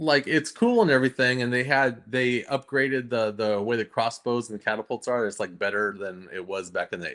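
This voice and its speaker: Over a quiet background, a man with an unremarkable speaking voice talks at a medium pitch and moderate pace, with ordinary pitch variation and hardly any pauses. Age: 50s. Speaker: comic artist and streamer. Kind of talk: casual chat. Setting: home livestream.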